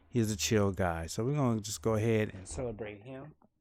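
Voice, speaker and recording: The recording is very clean, with a silent background. A man speaks in an animated tone with ordinary pitch variation. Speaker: streamer. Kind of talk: live stream chat. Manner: loud.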